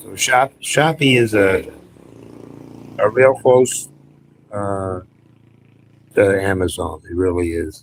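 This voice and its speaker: A somewhat breathy voice at a very slow pace, with long, frequent pauses, big swings in loudness and lively intonation. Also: man, fairly low pitch for a man. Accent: American. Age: 60s. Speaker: retiree YouTuber. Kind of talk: live stream chat. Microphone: cheap wireless mic.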